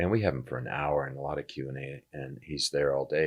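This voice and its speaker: Speaking at a moderate pace, the man has vocal fry and ordinary pitch variation. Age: 70s. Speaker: entrepreneur and journalist. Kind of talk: casual chat. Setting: studio.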